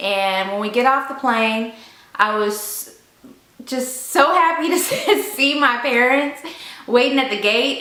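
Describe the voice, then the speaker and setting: A woman with a Southern US accent, fairly slow and lively in intonation, over noticeable background noise. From Memphis, Tennessee. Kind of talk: casual story time talk to camera.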